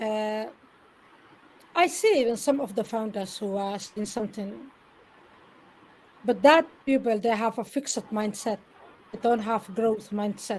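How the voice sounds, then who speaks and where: In a Somali accent, a woman speaks at a fairly slow pace with long, frequent pauses. Her pitch is fairly high, with ordinary variation. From Somalia, Mogadishu. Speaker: interview guest, network marketer. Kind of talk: live interview.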